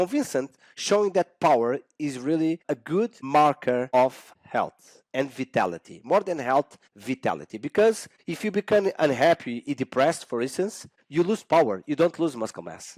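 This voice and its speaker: Speaking in a Portuguese accent with hardly any pauses, a man uses lively intonation and a fairly high pitch, captured in a very clean recording with a silent background and a dry, close sound with no echo. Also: moderate pace. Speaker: exercise scientist. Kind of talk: podcast interview. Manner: halting, many fillers and restarts.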